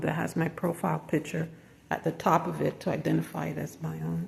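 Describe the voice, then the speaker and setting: Speaking at a fairly quick pace, a woman is heard through noticeable background noise. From Jamaica, moved to US at six. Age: 60s. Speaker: self-employed design consultant and vlogger. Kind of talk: casual vlog monologue. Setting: outdoors then building lobby.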